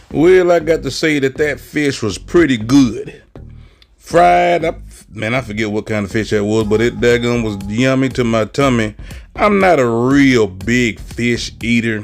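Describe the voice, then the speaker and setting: Faint music plays behind a man speaking at a fairly slow pace. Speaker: travel vlogger. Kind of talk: casual vlog chat. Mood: relaxed, content. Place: waterside. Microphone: phone near.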